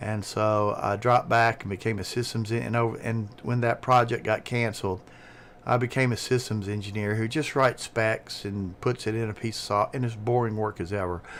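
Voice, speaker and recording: A man with a Southern US accent and medium pitch talks at a fairly quick pace with fairly even intonation. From US South. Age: 60s. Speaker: streamer, retired engineer. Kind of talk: casual chat. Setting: live stream with Discord call.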